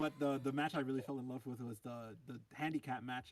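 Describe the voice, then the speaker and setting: Talking at a fairly quick pace, a man has an unremarkable speaking voice at a medium pitch with fairly even intonation. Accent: American. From New York. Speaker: wrestling podcast co-host. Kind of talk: casual chat.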